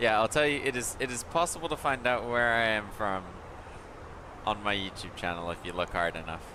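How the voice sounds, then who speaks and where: Lively intonation at a fairly quick pace, in an American accent, with noticeable background noise. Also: man, medium pitch for a man. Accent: sounds American. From born abroad, half British, not US. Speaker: flight sim streamer. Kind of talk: live stream commentary. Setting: live stream.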